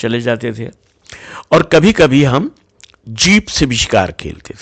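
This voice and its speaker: A man's voice with very wide pitch swings. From western Uttar Pradesh, India (Najibabad, Bijnor). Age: 60s. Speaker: storyteller, business owner. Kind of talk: personal storytelling.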